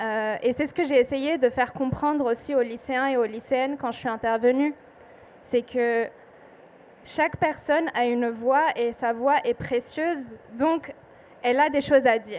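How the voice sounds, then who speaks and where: Her voice is high in pitch. The woman speaks at a fairly slow pace. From southern Lebanon. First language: Arabic (speaking French). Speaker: poet. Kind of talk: panel talk at book festival. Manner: hesitant, many fillers.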